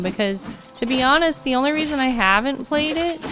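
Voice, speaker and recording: Music sits in the background while a woman talks at a moderate pace. Her intonation is lively. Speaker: video game streamer. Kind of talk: casual live gameplay commentary. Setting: livestream.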